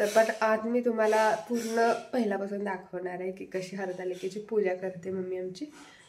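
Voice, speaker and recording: Her voice has a medium pitch and fairly even intonation. Noticeable background noise runs behind this woman. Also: big swings in loudness. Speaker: vlogger. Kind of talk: casual vlog chat. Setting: at home during a family puja.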